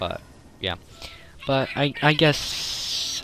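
A man talks over noticeable background noise. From Sweden. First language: Swedish. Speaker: gaming YouTuber. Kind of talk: gameplay commentary. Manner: halting.

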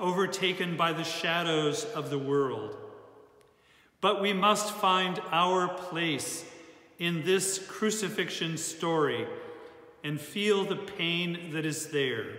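The tone is solemn and the pace very slow, with ordinary pitch variation. Audible room echo surrounds the voice. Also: man. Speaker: church service leader. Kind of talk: liturgical prayer, Good Friday worship. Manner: solemn, fervent, slow and heartfelt. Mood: solemn, reverent. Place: church. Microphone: phone near.

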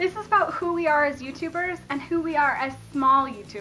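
Over light background noise, a woman with a General American accent speaks in a raised, projected voice with an enthusiastic tone. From Colorado. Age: 20s. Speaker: YouTuber. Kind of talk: casual talk to camera. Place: home room. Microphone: phone near.

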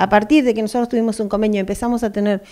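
A woman's fairly high-pitched voice with a dark, mellow tone against a quiet background. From Argentina. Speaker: union delegate for school support staff. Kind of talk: interview. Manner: animated. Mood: indignant, critical. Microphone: handheld.

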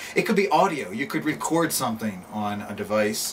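With light background noise behind him, a man speaks at a moderate pace, his fairly low pitch showing ordinary variation. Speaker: project creator. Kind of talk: casual vlog chat. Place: home room.

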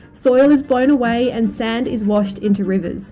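A dark, mellow tone at a fairly slow pace, with ordinary pitch variation over faint background music. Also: woman.

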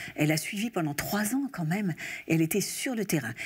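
Over a quiet background, a woman with a fairly low pitch talks with very wide pitch swings. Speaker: interview guest, actress. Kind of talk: interview answer. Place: studio. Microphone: lapel.

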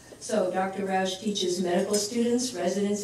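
Over light background noise and audible room echo, a woman talks at a moderate pace with fairly even intonation. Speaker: geriatric education center director. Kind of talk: formal introduction. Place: hall.

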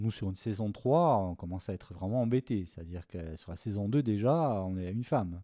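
On a very clean recording with a silent background and a dry, close sound with no echo, a man speaks fairly quickly at a fairly low pitch with ordinary pitch variation. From Corsica. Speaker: film composer. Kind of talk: interview. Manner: halting.

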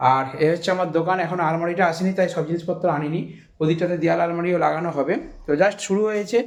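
High-pitched for a man, this voice keeps a fairly even intonation. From West Bengal, Ghatal (Paschim Medinipur). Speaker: sound system shop owner and vlogger. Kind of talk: casual vlog. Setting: in his new shop.

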